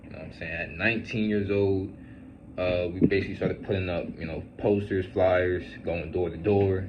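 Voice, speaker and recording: Audible room echo surrounds a man with a very deep, low pitch who speaks at a moderate pace with fairly even intonation. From Central New Jersey, US. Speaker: fitness vlogger and business owner. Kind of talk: casual storytime monologue. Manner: casual, filler-heavy.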